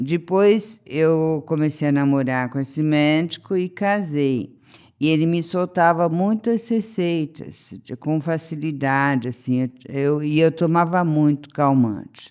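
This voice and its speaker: A woman's very deep, low voice at a very slow pace, with ordinary pitch variation and a quiet background. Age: 60s. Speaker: interviewee sharing recovery experience. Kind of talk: testimony.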